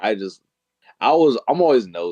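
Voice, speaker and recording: The sound is dry and close, with no echo. A man talks at a moderate pace with ordinary pitch variation. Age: 20s. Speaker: podcast guest. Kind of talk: casual chat. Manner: animated.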